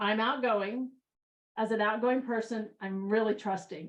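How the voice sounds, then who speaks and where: A woman's fairly high voice, animated in tone, at a moderate pace. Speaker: workshop trainer. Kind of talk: training presentation.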